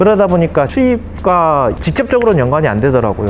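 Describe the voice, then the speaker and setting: With music in the background, a man speaks at a high pitch, his voice making very wide pitch swings. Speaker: accountant. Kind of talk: interview.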